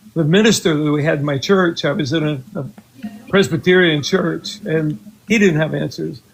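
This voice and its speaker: Music plays in the background as a man speaks in a fairly high voice with ordinary pitch variation. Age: 80s+. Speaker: skeptic caller. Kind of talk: live call-in debate. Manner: halting, hesitant.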